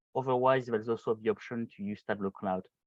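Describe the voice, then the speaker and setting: A man speaks in a French accent. The background is quiet. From France. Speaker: solution engineer. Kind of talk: hands-on tutorial webinar. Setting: video call. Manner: halting, many fillers.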